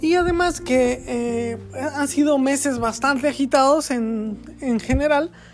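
Over noticeable background noise, a woman speaks at a fairly slow pace with a high pitch. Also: ordinary pitch variation. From Mexico, Querétaro. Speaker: podcaster. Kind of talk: solo monologue podcast. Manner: halting, many fillers and repetitions.

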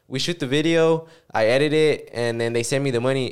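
In a very clean recording with a silent background, a man with an unremarkable speaking voice talks at a fairly quick pace, his pitch fairly high with ordinary variation. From Mexico City, raised in Oklahoma. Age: 20s. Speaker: videographer. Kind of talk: casual chat. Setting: studio.

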